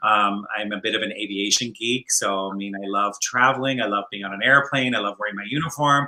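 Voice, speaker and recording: A man with a Canadian accent talks at a fairly quick pace and fairly low pitch with hardly any pauses, ordinary pitch variation and big swings in loudness, with noticeable background noise behind him. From Scotland. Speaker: flight attendant and online entrepreneur. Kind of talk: interview. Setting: livestream.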